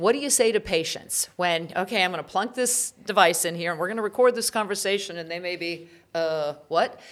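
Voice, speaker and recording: With hardly any pauses, a woman talks at a fairly quick pace in an ordinary speaking voice of medium pitch and ordinary pitch variation. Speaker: podcast host. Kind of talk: interview hosting. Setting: studio.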